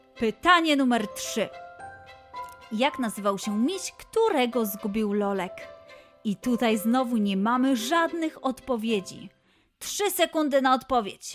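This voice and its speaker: Over music in the background, a woman with a high-pitched voice talks at a very slow pace in an upbeat, playful tone, her intonation lively and broken by long, frequent pauses. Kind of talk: children's quiz show host.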